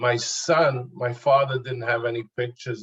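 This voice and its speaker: A man's somewhat breathy voice, medium in pitch, monotone and flat, at a fairly slow pace. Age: 70s. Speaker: audience member, son of survivor. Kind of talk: audience question. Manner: halting.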